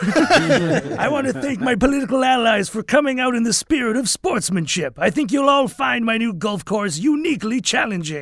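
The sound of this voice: A man's put-on character voice at an extremely high pitch, moderate pace, and hardly any pauses.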